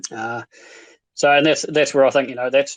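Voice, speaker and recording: A man with a New Zealand accent against a quiet background. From New Zealand, Invercargill, South Island. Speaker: stake pool operator. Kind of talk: casual chat. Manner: halting, many fillers.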